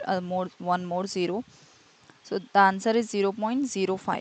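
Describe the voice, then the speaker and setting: A plain, everyday voice from a woman at medium pitch, moderate in pace, with fairly even intonation. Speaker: maths tutor. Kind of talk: tutorial.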